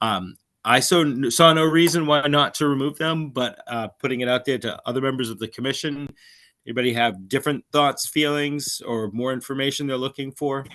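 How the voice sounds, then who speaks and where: Speaking at a fairly quick pace, a man uses a fairly high pitch with a bright, sharp tone. His pitch varies in an ordinary way over a quiet background. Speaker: conservation commission chair. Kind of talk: public meeting discussion. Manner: halting, stammering.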